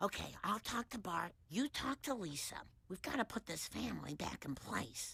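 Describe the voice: A female-sounding cartoonish character voice comes at a medium pitch and moderate pace.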